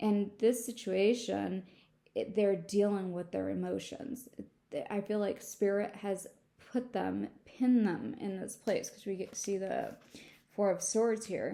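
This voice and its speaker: A woman talks at a fairly slow pace. Her loudness swings widely. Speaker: tarot reader. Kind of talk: tarot reading. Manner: halting.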